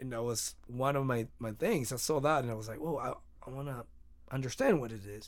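The man's voice sits at medium pitch. He moves at a moderate pace with ordinary pitch variation. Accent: Spanish. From Mexico, Mexicali. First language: Spanish. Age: 30s. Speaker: musician. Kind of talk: casual chat.

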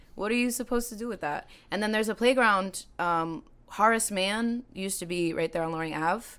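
A woman speaks in a normal speaking voice at a fairly quick pace, with medium pitch and ordinary pitch variation. The recording is very clean, with a silent background. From Salem, Massachusetts. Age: 30s. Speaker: singer. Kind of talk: casual chat.

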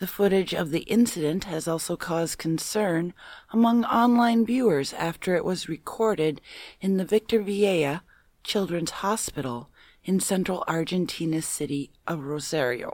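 A woman with an American accent speaks in an ordinary speaking voice at a moderate pace, her pitch fairly low. Her intonation is lively, and the recording is very clean with a silent background. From Minnesota, US. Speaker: podcast panelist. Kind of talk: reading news stories in a comedic quiz show.

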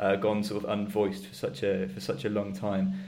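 Speaking very fast with lively intonation, a man with a British accent has a fairly low pitch and vocal fry, and audible room echo surrounds him. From UK. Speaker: podcast host. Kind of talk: interview. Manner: hesitant, repeats words.

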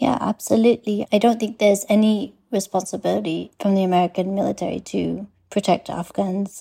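A dark, mellow tone with fairly even intonation moves at a fairly quick pace with hardly any pauses. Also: woman, medium pitch for a woman. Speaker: journalist. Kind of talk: interview.

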